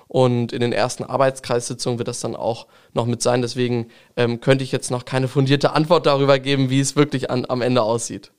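A man's monotone, flat voice at medium pitch and a fairly quick pace. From Lower Saxony, Langenhagen near Hanover. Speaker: state parliament member, politician. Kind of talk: interview.

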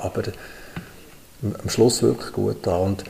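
A man talks at a fairly slow pace as noticeable background noise carries on behind him. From Switzerland, Bern area. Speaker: travel company CEO. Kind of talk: interview. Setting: studio.

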